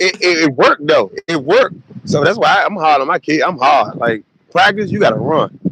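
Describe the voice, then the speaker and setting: Speaking with an American accent, a man uses a high pitch. His intonation is lively and his pace moderate. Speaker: youth football coach. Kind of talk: casual interview. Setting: live stream.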